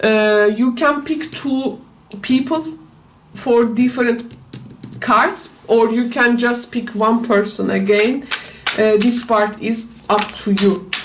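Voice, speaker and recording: A woman with a non-native accent speaks at a very slow pace, with long, frequent pauses, a fairly high pitch, fairly even intonation and very even loudness. The recording has audible room echo and noticeable background noise. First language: not English. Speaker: tarot reader. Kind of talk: tarot reading. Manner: halting, many fillers.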